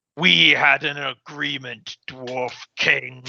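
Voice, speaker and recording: A man does a put-on character voice that is raspy, booming and resonant at a medium pitch, speaking at a very slow pace. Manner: commanding, accusatory.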